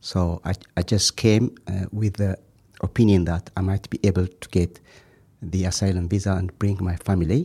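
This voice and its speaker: A man with a fairly low pitch and a dark, mellow, somewhat breathy tone speaks with fairly even intonation, recorded dry and close with no echo in a very clean take with a silent background. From Ethiopia. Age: 40s. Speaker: asylum seeker. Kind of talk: interview. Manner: halting, frequent hesitations.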